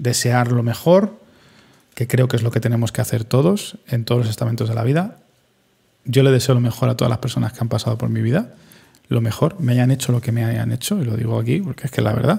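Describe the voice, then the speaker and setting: Speaking at a very fast pace, a man has a dark, mellow tone that is somewhat breathy. His pitch sits at a medium level with ordinary variation. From Spain, Madrid. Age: 30s. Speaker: podcaster and streamer. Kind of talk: solo reflective monologue.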